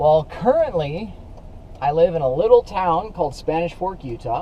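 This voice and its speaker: Against noticeable background noise, a man with an American accent talks at a moderate pace in a high pitch with lively intonation. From Northern California, Sacramento area. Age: 30s. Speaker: cycling vlogger. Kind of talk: casual vlog monologue.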